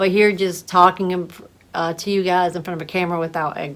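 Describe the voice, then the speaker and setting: A woman speaks at a fairly quick pace in a fairly low pitch, her intonation flat and monotone. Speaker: massage therapist. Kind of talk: casual vlog talk to camera. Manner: halting, with fillers and repetitions.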